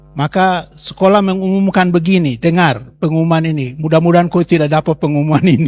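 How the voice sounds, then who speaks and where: A man with a high pitch, ordinary pitch variation and a very fast pace with hardly any pauses, in a dry, close sound with no echo over background music. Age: 70s. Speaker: pastor. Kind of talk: testimony. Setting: talk to students at a Bible school.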